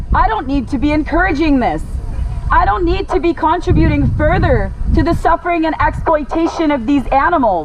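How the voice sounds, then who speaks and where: Audible room echo and noticeable background noise surround a woman speaking at an extremely high pitch with ordinary pitch variation. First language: French. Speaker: animal rights activist. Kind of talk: protest speech. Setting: outdoors at roadside protest. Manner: pleading, impassioned.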